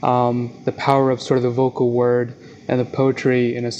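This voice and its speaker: A man's medium-pitched, monotone voice at a moderate pace, with noticeable background noise. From South Jersey, US. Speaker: publisher and magazine editor. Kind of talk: interview conversation.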